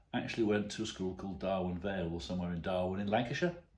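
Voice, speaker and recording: There is audible echo from the room. The pitch moves in an ordinary way. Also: man. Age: 60s. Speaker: retired father telling stories. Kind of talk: casual anecdote to camera.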